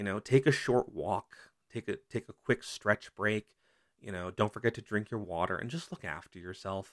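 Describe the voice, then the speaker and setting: In a very clean recording with a silent background and a dry, close sound with no echo, a man of fairly low pitch speaks in a normal speaking voice with ordinary pitch variation. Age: 30s. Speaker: college student podcast host. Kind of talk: solo podcast monologue. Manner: casual, conversational.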